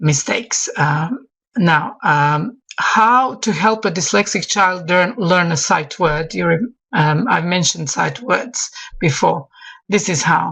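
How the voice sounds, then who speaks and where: Speaking at a very slow pace, a woman with a fairly low pitch and a Croatian accent uses lively intonation. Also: very even loudness. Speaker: English teacher. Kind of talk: online expert talk. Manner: halting, many fillers and repetitions.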